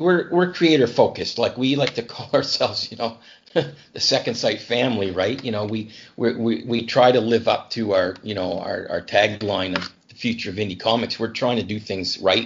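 In a Canadian accent, a man with an unremarkable speaking voice talks at a moderate pace. His pitch is medium, with ordinary pitch variation. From Canada, New Brunswick. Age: 50s. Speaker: comic writer. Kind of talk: casual interview.

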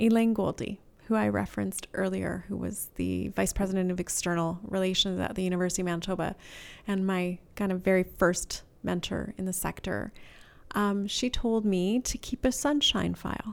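A woman with a plain, everyday voice speaks at a moderate pace and medium pitch, recorded very cleanly against a silent background. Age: 50s. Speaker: charity fundraising director. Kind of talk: interview. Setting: office.

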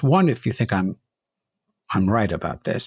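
A man talks with vocal fry and very wide pitch swings, heard in a dry, close sound with no echo. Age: 70s. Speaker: podcast host, rabbi. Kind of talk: interview. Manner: halting, repeats words.

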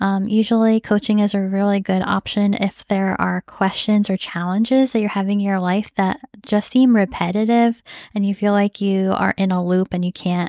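A woman's warm, dark and mellow medium-pitched voice with an American accent, moderate pace and monotone, flat intonation, on a very clean, silent recording with a dry, close sound and no echo. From United States. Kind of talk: solo podcast monologue with personal update, encouragement and prayer; fervent intercessory prayer for people affected by war. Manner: warm, earnest, heartfelt and encouraging; fervent and pleading, impassioned prayer tone.

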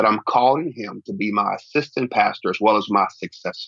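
A man with an unremarkable speaking voice, ordinary pitch variation, and a moderate pace. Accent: American. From Oklahoma City, US. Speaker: pastor. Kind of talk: interview conversation.

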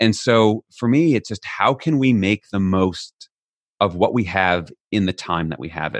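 A man's ordinary speaking voice with an American accent, fairly low in pitch with ordinary pitch variation, in a dry, close sound with no echo over a quiet background. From United States. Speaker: author on leadership. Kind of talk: interview.

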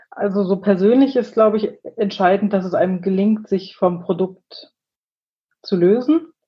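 Somewhat breathy speech at a moderate pace, with long, frequent pauses. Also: woman, medium pitch for a woman, ordinary pitch variation. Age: 30s. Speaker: agile team leader in software development. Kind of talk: interview conversation.

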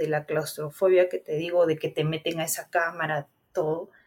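A woman talks in a somewhat breathy voice. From Peru, Guarmey (Ancash). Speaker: cancer survivor. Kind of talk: interview, personal testimony.

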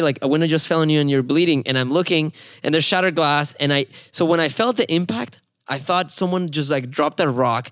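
With a Spanish accent, a man talks at a fairly quick pace in a fairly high voice with ordinary pitch variation. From Mexico. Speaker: mobile billboard company founder. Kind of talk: casual interview conversation. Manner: friendly, upbeat, funny.

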